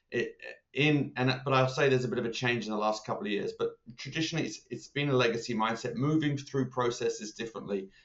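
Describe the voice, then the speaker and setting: A man speaks with an English accent. His pitch is medium, with ordinary pitch variation. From England. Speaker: consulting leader. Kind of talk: podcast interview. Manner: hesitant, many fillers.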